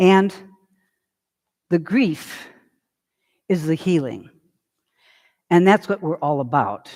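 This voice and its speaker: Fairly slow speech with ordinary pitch variation comes across on a very clean recording with a silent background. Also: man. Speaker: grief counselor and speaker. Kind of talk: lecture. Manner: loud.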